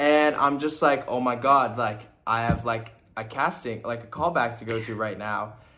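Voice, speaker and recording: With audible room echo, a man at medium pitch speaks at a moderate pace, his tone bright and sharp and his pitch varying in an ordinary way. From Toronto, Canada, then Indiana from age 14. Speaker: fashion model. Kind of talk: casual chat.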